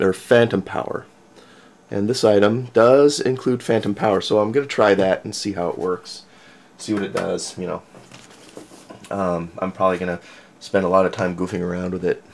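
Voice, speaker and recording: With light background noise behind him, a man speaks at a moderate pace with fairly low pitch, ordinary pitch variation and long, frequent pauses. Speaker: hobbyist reviewer. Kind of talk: casual unboxing commentary. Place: home room.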